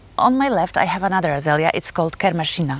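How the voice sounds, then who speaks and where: A woman with a Polish accent speaks at a very deep, low pitch. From Poland. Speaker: gardening youtuber. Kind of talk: casual tutorial. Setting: outdoors in garden. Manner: halting, frequent fillers.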